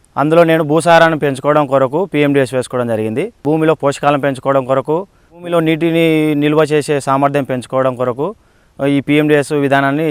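A man with an ordinary speaking voice talks at a fairly high pitch with fairly even intonation. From Nandyal district, Andhra Pradesh (Rayalaseema). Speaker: farmer. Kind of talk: testimony.

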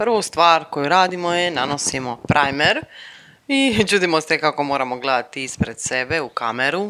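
This is a woman speaking. Her pace is moderate. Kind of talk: humorous voiceover commentary on makeup tutorial.

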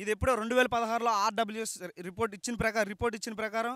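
In a raised, projected voice, a man speaks at a high pitch with a bright, sharp tone and monotone, flat intonation, the sound dry with no echo and the background quiet. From Srikakulam district, Andhra Pradesh; Andhra Pradesh, India. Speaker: villager in fishing community; interviewee. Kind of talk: street interview. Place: open country. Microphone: handheld.

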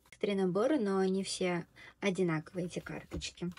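A woman's voice with fairly even intonation. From Tatarstan, Russia. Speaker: video blogger and Korean language tutor; video blogger, Korean language tutor. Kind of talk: tutorial. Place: home room. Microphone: earbuds.

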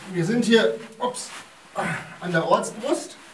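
Audible room echo carries a man's voice as he speaks at a fairly slow pace with ordinary pitch variation. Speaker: mine guide. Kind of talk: guided tour explanation. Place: tunnel cave. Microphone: camera far.

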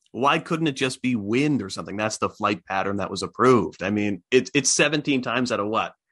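Speaking at a fairly quick pace with hardly any pauses, a man uses ordinary pitch variation over a quiet background. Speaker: show host. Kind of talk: interview. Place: home room. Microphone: studio mic.

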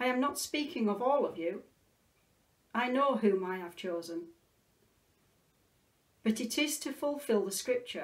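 Over a quiet background, a woman talks at a fairly slow pace. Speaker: clergy reader. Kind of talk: scripture reading. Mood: calm, solemn. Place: home room. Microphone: phone near.

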